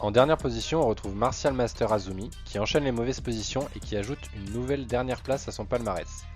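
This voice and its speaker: Lively intonation at a fairly quick pace, with music in the background. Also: man. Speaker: manga news youtuber. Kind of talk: casual talk to camera, manga ranking review.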